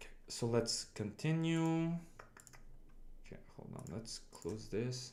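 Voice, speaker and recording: With a non-native accent, a man speaks using ordinary pitch variation. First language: not English. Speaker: game development streamer. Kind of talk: livestream coding tutorial. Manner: halting, with many restarts and fillers.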